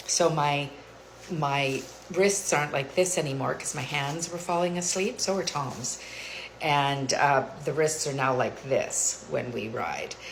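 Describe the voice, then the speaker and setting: A woman speaks with a very deep, low pitch at a fairly slow pace, with ordinary pitch variation. Room echo is audible, along with noticeable background noise. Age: 60s. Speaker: lifestyle vlogger. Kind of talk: casual vlog monologue. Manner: casual, hesitant with frequent fillers.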